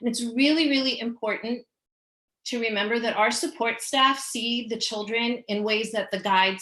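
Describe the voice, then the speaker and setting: Her voice is bright and sharp, fairly high in pitch with ordinary pitch variation, in a New York accent. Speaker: school special education staff presenter. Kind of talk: parent education presentation. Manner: fast.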